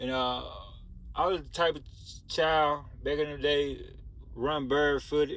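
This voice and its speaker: Speaking in a Southern US accent, a man takes a fairly slow pace. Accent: Southern country. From US South, rural Mississippi. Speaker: storytelling video creator. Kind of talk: personal storytime monologue. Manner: casual, conversational.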